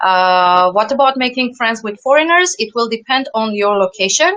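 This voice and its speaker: A woman talks with a non-native accent. Her intonation is lively and her pace moderate. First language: not English. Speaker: former English teacher abroad. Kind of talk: interview. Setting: video call. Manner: halting, many repetitions.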